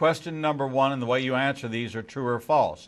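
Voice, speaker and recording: The background stays quiet. This man's pitch varies in an ordinary way. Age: 60s. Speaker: radio host and rabbi. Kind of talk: casual chat. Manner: halting.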